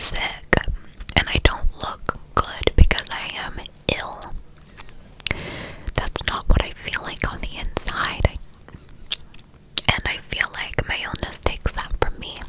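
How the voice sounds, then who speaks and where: The voice whispers with long, frequent pauses and big swings in loudness. Noticeable background noise runs underneath. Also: woman. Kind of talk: ASMR whisper ramble, personal talk to camera. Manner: whispered, soft-spoken.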